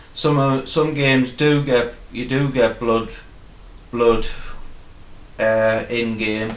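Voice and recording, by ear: A man mumbling in a put-on character voice at a medium pitch, with fairly even intonation, a very slow pace, and long, frequent pauses.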